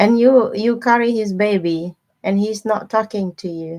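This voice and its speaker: Recorded very cleanly against a silent background, a woman speaks at a fairly slow pace with ordinary pitch variation. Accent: non-native. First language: not English. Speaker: tarot reader livestreamer. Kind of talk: live stream chat with viewers. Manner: casual, chatty.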